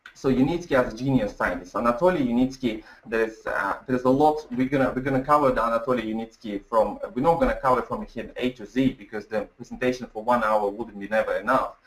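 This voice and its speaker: Over noticeable background noise, a man at medium pitch speaks at a very fast pace with hardly any pauses and ordinary pitch variation. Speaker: webinar presenter. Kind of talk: webinar presentation. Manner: halting.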